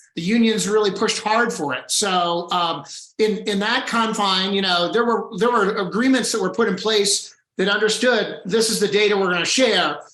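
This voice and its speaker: A man's high-pitched voice at a moderate pace, with ordinary pitch variation and audible room echo. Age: 60s. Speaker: healthcare policy advocate. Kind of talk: panel discussion.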